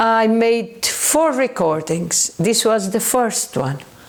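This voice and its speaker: Speech comes at a very slow pace in a Portuguese accent, the pitch swinging very widely. Noticeable background noise is present. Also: woman. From southern Portugal. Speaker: paranormal researcher. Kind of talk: educational talk. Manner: halting.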